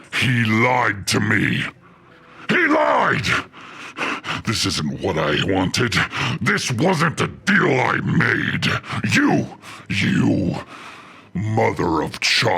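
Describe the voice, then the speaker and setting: This man puts on a growling character voice at a medium pitch. He speaks at a very slow pace, with long, frequent pauses. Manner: furious, accusing.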